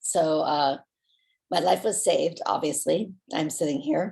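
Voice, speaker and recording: A woman talks at a fairly slow pace in an American accent. Vocal fry runs through her voice. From Southern California. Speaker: company founder. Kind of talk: personal story. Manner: halting.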